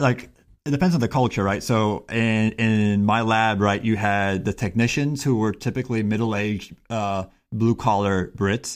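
This is a man with an American accent and an unremarkable speaking voice, fairly low in pitch with ordinary pitch variation. He keeps a moderate pace and very even loudness on a very clean recording with a silent background. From Miami, Florida, US. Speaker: engineering professor. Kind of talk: casual chat.

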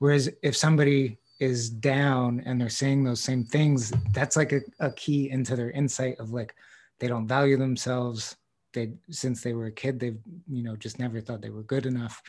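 At a moderate pace, a man talks at a medium pitch with fairly even intonation, in a normal speaking voice. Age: 40s. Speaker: podcast host and tattoo artist. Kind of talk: casual chat.

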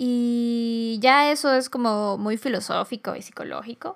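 This woman's voice sits at a fairly high pitch. The recording is very clean, with a silent background. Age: 20s. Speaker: podcast host. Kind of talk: solo reflective monologue.

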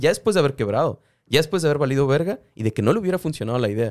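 Very fast speech with very wide pitch swings comes through in a very clean recording with a silent background, dry and close with no echo. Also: man. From Tijuana, Mexico. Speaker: podcast co-host. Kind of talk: casual chat. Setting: studio.

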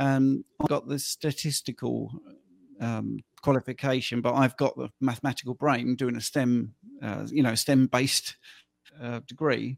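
The man's intonation stays monotone and flat. He speaks at a medium pitch and a moderate pace. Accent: British. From UK. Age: 50s. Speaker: health coach. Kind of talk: interview. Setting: video call.

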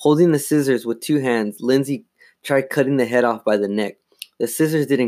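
Here is an unforced reading voice with ordinary pitch variation. The background stays quiet.

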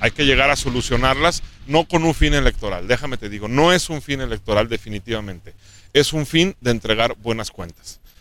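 A man in a central Mexican accent, medium-pitched with a bright, sharp tone, lively intonation and a fairly quick pace. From Mexico, Aguascalientes. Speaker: state government official. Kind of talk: interview.

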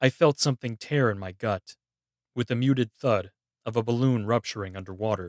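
A natural reading voice, its pitch varying in an ordinary way, sits against a quiet background.

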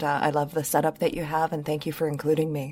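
A woman with an American accent speaks at a fairly quick pace. Her very deep, low voice has a dark, mellow, calm tone. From Michigan. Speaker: podcast host. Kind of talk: casual chat.

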